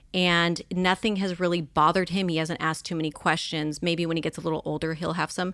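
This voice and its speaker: Speaking with a Californian accent, a woman talks at a very fast pace with hardly any pauses, her fairly low pitch held in a monotone, flat intonation on a very clean recording with a silent background. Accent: Californian American. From Los Angeles area, California. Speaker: social media influencer and model. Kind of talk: casual interview chat.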